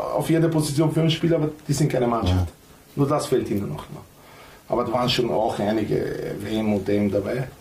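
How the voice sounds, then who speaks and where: Here a man speaks at a medium pitch with lively intonation. His pace is fairly quick, and the room echo is audible. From North Macedonia. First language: Macedonian (speaking German). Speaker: former footballer, coach and club owner. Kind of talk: casual chat.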